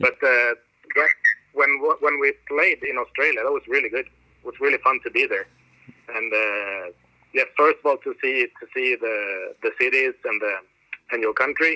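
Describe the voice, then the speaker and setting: A man with a Swedish accent speaks at a moderate pace. He pauses often and at length. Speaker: metal drummer. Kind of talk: interview. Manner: halting.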